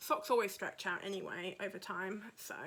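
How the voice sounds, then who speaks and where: Her tone is bright and sharp. The woman talks at a moderate pace in a southern English accent. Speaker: podcaster and yarn dyer. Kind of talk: casual chat. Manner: chatty.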